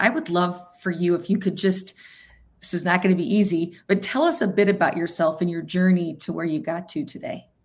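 In a normal speaking voice, a woman talks at a fairly low pitch and a fairly quick pace, with ordinary pitch variation. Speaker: podcast host. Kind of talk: interview questions.

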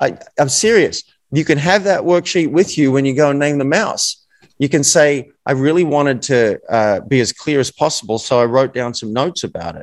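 Lively intonation marks this man's fairly high voice. The recording is dry and close, without echo. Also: moderate pace. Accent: Australian. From Australia. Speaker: author and coach.

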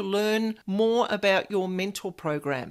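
In a very clean recording with a silent background, a woman talks at a fairly slow pace. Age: 50s. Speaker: paranormal podcast host. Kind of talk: interview.

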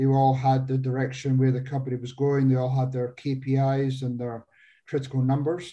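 Speaking with a Scottish accent, a man uses a dark, mellow, somewhat breathy tone at medium pitch, with monotone, flat intonation at a moderate pace. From Scotland. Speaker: business coach and former company owner. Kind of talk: interview.

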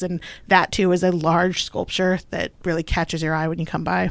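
In a very clean recording with a silent background, a woman speaks at a fairly quick pace in a fairly low pitch, an ordinary speaking voice. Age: 30s. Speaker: museum communications manager. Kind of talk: casual interview.

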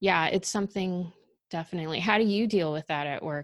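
A woman with a Californian accent has a fairly low-pitched voice. The sound is dry and close with no echo, and the background is quiet. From Los Angeles. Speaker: podcast host, digital content marketer. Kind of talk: interview.

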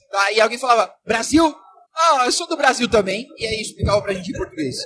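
A man's voice with lively intonation. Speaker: podcast host. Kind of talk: casual chat. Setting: conference expo floor.

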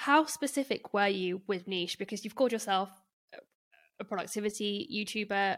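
This woman has an ordinary speaking voice, medium in pitch, with ordinary pitch variation and a moderate pace. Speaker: podcast host. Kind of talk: casual interview.

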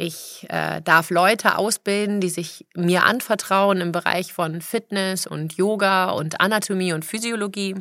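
A woman with a plain, everyday voice speaks at a fairly slow pace, medium in pitch and with fairly even intonation. She leaves hardly any pauses, and the recording is very clean with a silent background. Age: 40s. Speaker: personal trainer and fitness podcaster. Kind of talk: motivational monologue.

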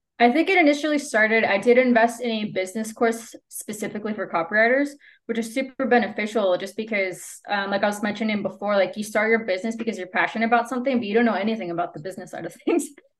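A woman with a Spanish accent talks at a very fast pace with hardly any pauses. Her fairly high voice has ordinary pitch variation. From El Salvador. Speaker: copywriter and rugby player. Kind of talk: interview. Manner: soft-spoken.

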